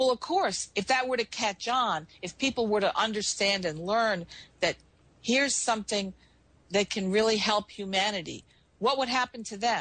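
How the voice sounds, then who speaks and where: A woman talks in an ordinary speaking voice at a fairly high pitch and moderate pace. Her pitch variation is ordinary, and the background is quiet. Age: 60s. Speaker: former intelligence asset, talk radio guest. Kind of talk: talk radio discussion. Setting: radio show.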